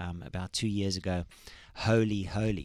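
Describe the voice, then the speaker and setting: Fairly low in pitch, a man speaks with fairly even intonation in an unremarkable speaking voice. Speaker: worship leader and songwriter. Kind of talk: casual interview. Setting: studio.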